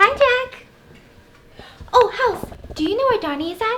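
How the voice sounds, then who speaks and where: In a squeaky, bubbly put-on character voice, the speaker goes at a moderate pace. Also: woman, extremely high pitch for a woman. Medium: voice reel.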